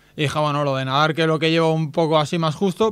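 A man's fairly high-pitched voice. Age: 30s. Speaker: visually impaired athlete. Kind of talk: radio interview. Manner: animated.

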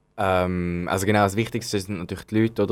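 In a very clean recording with a silent background, a man speaks at a fairly quick pace with monotone, flat intonation. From Switzerland, Zürich. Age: 20s. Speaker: youth organization member. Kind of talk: interview. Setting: studio. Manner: hesitant, many fillers.

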